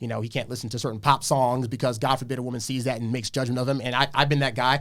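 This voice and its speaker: In an American accent, a man talks at a very fast pace with monotone, flat intonation. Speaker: dating advice guest. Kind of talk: podcast debate.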